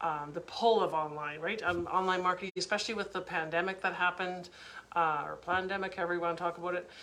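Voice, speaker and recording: A woman speaks very fast at a fairly low pitch, with monotone, flat intonation. Noticeable background noise sits behind her. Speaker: online business coach. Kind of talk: live webinar training. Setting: Facebook live stream.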